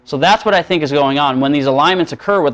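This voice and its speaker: A man's voice over background music. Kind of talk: prophecy sermon and screen-share presentation. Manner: casual, conversational, with frequent filler 'uh' and 'um'.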